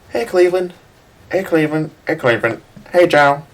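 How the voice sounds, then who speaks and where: An unhurried, moderate pace in a put-on character voice of middle pitch. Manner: goofy, repetitive greetings.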